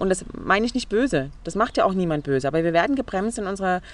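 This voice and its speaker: A woman with a medium pitch, lively intonation and an unremarkable speaking voice. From Saxony, Leipzig. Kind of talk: interview. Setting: outdoors in a garden.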